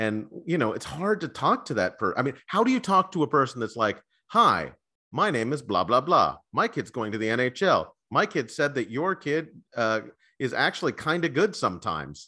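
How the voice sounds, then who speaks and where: With a bright, sharp tone and vocal fry, a man swings very widely in pitch from a fairly high base at a moderate pace. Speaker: podcast host. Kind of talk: casual chat. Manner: joking, rambling, filler-heavy.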